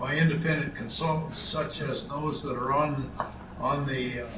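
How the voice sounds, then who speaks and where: The speaker is a man talking at a fairly slow pace. Noticeable background noise is present. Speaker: remote guest. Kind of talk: press conference statement. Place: home room. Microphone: video call.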